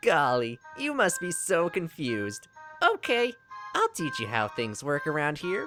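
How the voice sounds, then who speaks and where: A put-on character voice at a middle pitch, with faint music in the background. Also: moderate pace. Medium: read story. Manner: cheery, folksy.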